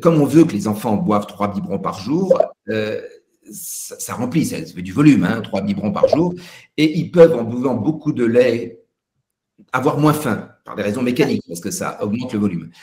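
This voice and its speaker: A somewhat breathy, dark, mellow voice moves at a moderate pace with very wide pitch swings and big swings in loudness. Long, frequent pauses break it up amid audible room echo. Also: man, medium pitch for a man. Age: 60s. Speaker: pediatric nutrition professor. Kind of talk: Q&A at a web conference. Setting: web conference. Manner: halting, many hesitations.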